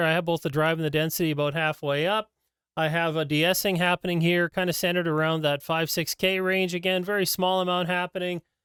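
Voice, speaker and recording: A man speaks very fast in a high, shrill voice with flat, monotone intonation. The very clean recording has a silent background and a dry, close sound with no echo. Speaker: microphone reviewer. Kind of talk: tutorial.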